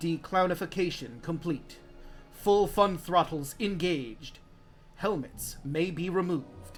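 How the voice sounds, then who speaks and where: A put-on, robotic character voice sits at a middle pitch and a fairly slow pace. Clear background noise runs behind it. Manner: flat, mechanical announcement.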